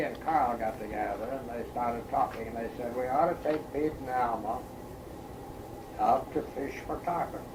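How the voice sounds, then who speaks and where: Talking at a moderate speed with ordinary pitch variation, a man is heard against noticeable background noise and audible echo from the room. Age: 80s+. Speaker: retiree recalling memories. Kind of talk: oral history interview. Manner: halting, many fillers.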